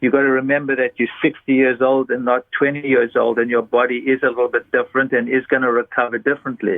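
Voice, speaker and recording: A man's very fast speech at medium pitch, monotone and flat, with very even loudness. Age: 60s. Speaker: doctor. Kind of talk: interview.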